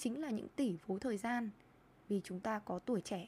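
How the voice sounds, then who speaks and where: A woman speaks at a fairly slow pace with a somewhat breathy voice. Her pitch is fairly high, with ordinary variation. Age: 20s. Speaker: podcast host and lifestyle blogger. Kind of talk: solo podcast monologue.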